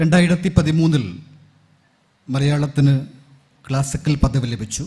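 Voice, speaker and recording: A man's somewhat breathy, dark and mellow voice, fairly high in pitch with ordinary pitch variation, with a Kerala accent. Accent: Malayali (Kerala) accent in English. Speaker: university professor. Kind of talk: conference talk.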